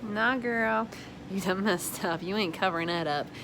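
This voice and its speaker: Audible room echo is present. The speaker is a woman. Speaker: small business owner and vlogger. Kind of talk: casual vlog monologue. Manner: fast.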